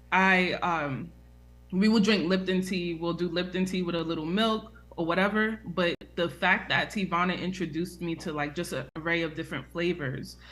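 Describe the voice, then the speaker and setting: A woman speaks in a New York accent at a moderate pace. Her pitch is fairly low and her intonation fairly even. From New York, US (the Bronx). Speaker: herbal tea business owner. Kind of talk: live Q&A interview.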